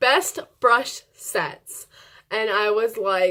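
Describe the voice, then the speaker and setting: A woman talks loudly with ordinary pitch variation in a very clean recording with a silent background. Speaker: beauty vlogger. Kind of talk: casual chat. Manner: fast.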